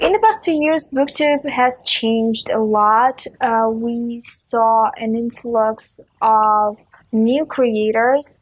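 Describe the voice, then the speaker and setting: This woman has a Russian accent and a fairly high pitch, with fairly even intonation. She talks very slowly, with hardly any pauses. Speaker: book video creator. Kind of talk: casual vlog talk. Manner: frequent filler uh.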